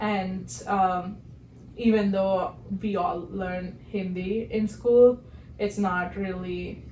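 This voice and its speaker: Medium in pitch, a woman speaks at a very slow pace with monotone, flat intonation. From southern India. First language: Telugu. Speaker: podcast co-host. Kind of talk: casual chat.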